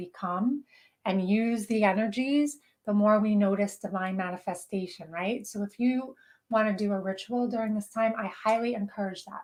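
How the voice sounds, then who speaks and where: The recording is very clean with a silent background, and the voice on it is somewhat breathy. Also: woman. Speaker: spiritual channeler and show host. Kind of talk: live stream talk. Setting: live video broadcast on social media. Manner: fast; animated.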